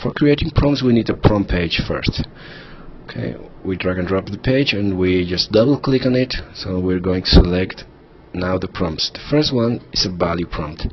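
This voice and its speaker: A man with a non-native accent speaks in a very deep, low pitch with lively intonation. Noticeable background noise can be heard. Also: moderate pace. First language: not English. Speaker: software tutorial instructor. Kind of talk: screen-recorded tutorial. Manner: hesitant, with fillers.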